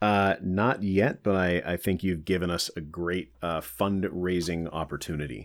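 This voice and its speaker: Speaking with an American accent at a fairly slow pace, a man with a very deep, low pitch keeps his intonation fairly even and hardly pauses, in a very clean recording with a silent background. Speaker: soccer supporter group vice president. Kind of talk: casual podcast interview. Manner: talkative, long-winded.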